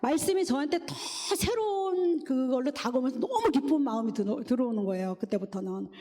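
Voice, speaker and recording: Against noticeable background noise, a woman with a high-pitched voice speaks fairly quickly with very wide pitch swings. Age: 60s. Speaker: church deaconess giving testimony. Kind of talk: testimony.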